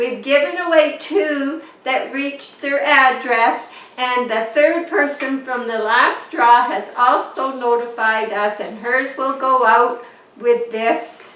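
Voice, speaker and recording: Over noticeable background noise, a woman speaks in a high pitch. Her pace is very slow, with ordinary pitch variation. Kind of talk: casual talk to camera.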